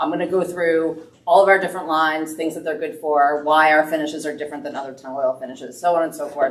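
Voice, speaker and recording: A woman with a very deep, low pitch talks very fast with hardly any pauses, fairly even intonation and big swings in loudness. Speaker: business owner presenting wood finishes. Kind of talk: presentation to a woodworking club.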